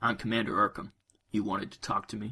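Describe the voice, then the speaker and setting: A man performs a put-on character voice at a medium pitch. He delivers it at a very fast pace. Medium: audio drama.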